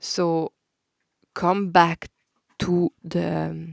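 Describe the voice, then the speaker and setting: In a dry, close recording with no echo, a woman with a Belgian French accent speaks in a very deep, low voice. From Belgium. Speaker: podcast host, holistic counsellor. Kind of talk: spiritual podcast monologue. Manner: casual with hesitations and filler; warm, gentle.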